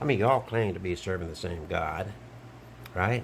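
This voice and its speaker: Speaking at a moderate pace with an Alabama accent, a man shows vocal fry and lively intonation. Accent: Southern US (Alabama). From Alabama, US South. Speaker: online commentator, travelling wedding officiant. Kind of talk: monologue video commentary.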